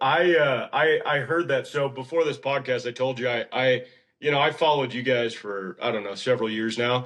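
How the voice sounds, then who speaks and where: Here is a man with an ordinary speaking voice and an American accent. He keeps a medium pitch, ordinary pitch variation and a moderate pace. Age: 30s. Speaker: horse trainer. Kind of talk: casual chat.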